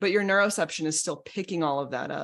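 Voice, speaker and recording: In a very clean recording with a silent background, a woman speaks at a medium pitch with a bright, sharp tone and lively intonation. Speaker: betrayal recovery coach. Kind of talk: educational talk.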